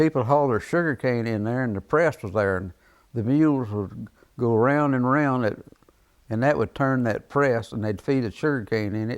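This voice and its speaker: A man's medium-pitched voice with a Central Texas accent, ordinary pitch variation and a moderate pace. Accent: Central Texas rural. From Texas, Dripping Springs. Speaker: oral history interviewee. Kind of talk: oral history interview.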